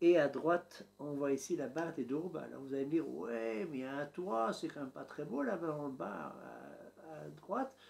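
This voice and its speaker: A man with a strong Belgian accent, fairly high in pitch, with ordinary pitch variation, at a moderate pace with hardly any pauses. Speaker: YouTuber documenting home building. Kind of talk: vlog narration to camera. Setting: home office.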